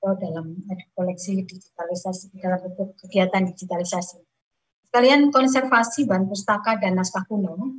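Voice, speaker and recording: Against a quiet background, a woman speaks in a somewhat breathy voice. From Indonesia. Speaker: senior librarian; presenter. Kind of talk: webinar presentation. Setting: video call. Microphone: video call.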